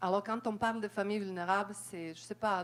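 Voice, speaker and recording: A woman of medium pitch with a non-native accent. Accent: foreign accent in French. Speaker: audience member, community worker. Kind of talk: audience question, spontaneous remarks.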